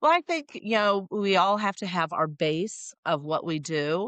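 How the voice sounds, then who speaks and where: A woman has an unremarkable speaking voice with ordinary pitch variation and a moderate pace. The sound is dry and close with no echo, and the background is quiet. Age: 60s. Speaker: sales coach. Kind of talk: podcast interview.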